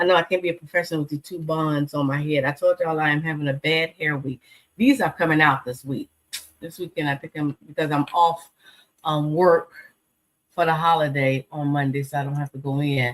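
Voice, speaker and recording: Very deep and low, a woman's voice holds fairly even intonation. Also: fairly quick pace, dry, close sound with no echo. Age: 50s. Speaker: talk show host and live streamer. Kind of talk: casual live-stream talk show. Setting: live stream. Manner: chatty, informal.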